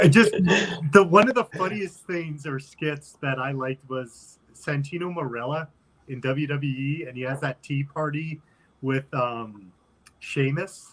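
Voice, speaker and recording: Speaking at a fairly slow pace, a man with an unremarkable speaking voice uses a fairly high pitch, ordinary pitch variation and big swings in loudness. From United States. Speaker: podcast host. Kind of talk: casual chat.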